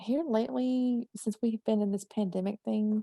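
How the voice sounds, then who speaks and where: A woman's fairly high voice with a dark, mellow tone and a slight Southern US accent, at a fairly slow pace, with a dry, close sound and no echo. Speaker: horror writer. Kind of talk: interview conversation. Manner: talkative.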